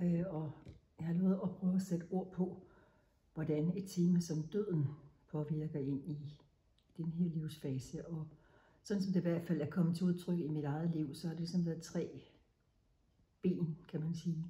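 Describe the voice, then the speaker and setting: With a dark, mellow tone and a somewhat breathy quality, the voice moves at a fairly slow pace in a monotone, flat way, broken by long, frequent pauses amid audible room echo. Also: woman, fairly low pitch for a woman. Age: 60s. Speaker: menopause speaker sharing personal experience. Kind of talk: personal talk to camera. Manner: halting.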